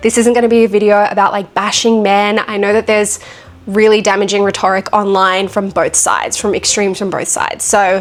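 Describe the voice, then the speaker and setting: With music in the background, a woman with an Australian accent speaks at a moderate pace and medium pitch in a flat, monotone way. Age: 20s. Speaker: vlogger. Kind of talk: casual monologue to camera.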